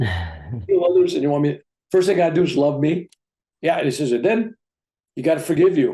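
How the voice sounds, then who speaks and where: A man with a dark, mellow tone sounds somewhat breathy and talks at a moderate pace. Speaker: reverend and spiritual teacher sharing near-death stories. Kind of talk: interview answer telling personal stories.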